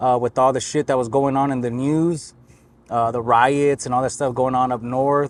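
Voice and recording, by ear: A man speaks at a moderate pace and medium pitch. His intonation stays fairly even.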